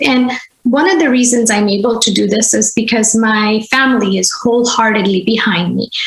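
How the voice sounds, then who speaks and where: A woman speaks at a fairly high pitch with a Gujarati accent, barely pausing and keeping her loudness very even. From India, Gujarat (Vadodara). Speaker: language teacher and school founder. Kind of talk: podcast interview.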